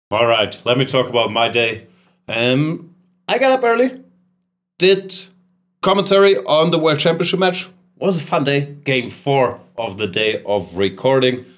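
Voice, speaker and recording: Very wide pitch swings mark this man's fairly high voice, in a playful tone. He talks at a fairly slow pace with long, frequent pauses. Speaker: chess grandmaster and podcast host. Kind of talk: casual chat. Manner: joking, playful.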